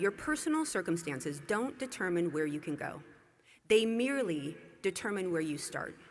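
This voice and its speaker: A woman at a medium pitch moves at a fairly quick pace, her voice making very wide pitch swings. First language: not English. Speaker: commencement speaker. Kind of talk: commencement speech. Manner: formal.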